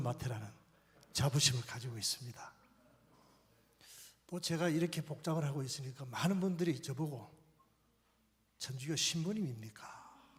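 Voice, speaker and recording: A man with a fairly high pitch and a somewhat breathy voice talks at a moderate pace with ordinary pitch variation and long, frequent pauses. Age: 60s. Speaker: pastor. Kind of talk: conference talk.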